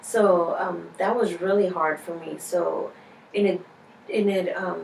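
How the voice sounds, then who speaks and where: With a Spanish accent, a woman talks at a medium pitch with ordinary pitch variation, against audible room echo and noticeable background noise. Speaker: interviewee. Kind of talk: interview. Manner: halting, many fillers.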